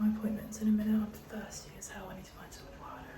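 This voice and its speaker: A woman speaks with a British accent. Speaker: vlogger. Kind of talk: casual vlog chat.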